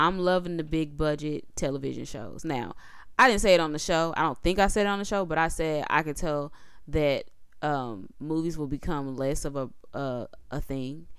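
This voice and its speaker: A woman speaks in an animated tone at a moderate pace. Her pitch is very deep and low. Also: ordinary pitch variation. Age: 30s. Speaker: podcast co-host and editor. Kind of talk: casual chat.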